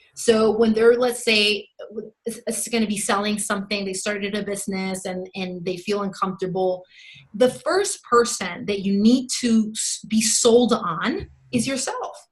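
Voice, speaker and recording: With a Spanish accent, a woman with a fairly high pitch speaks at a fairly slow pace and with fairly even intonation. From Mexico. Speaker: sales coach. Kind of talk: podcast interview answer.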